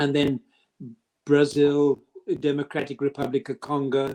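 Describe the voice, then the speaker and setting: This man speaks at a very slow pace in a fairly high pitch with a dark, mellow tone. The sound is dry and close, with no echo. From Zimbabwe. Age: 70s. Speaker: retired pastor and leprosy advocate. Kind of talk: interview; exhortation.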